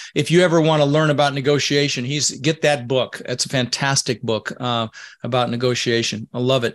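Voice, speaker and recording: Over a quiet background, a man with a normal speaking voice talks at a fairly quick pace in a medium pitch with fairly even intonation. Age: 60s. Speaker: real estate podcast host; podcast host. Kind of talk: interview. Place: home room. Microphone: video call.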